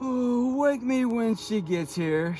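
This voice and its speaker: A man does a put-on character voice, soft-spoken and extremely high in pitch. Clear background noise runs underneath. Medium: read story. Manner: drowsy, murmuring.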